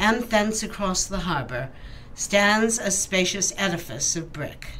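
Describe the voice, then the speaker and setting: Amid noticeable background noise, a woman at a medium pitch speaks at a fairly slow pace with lively intonation. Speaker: voice actor. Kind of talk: classic literature reading.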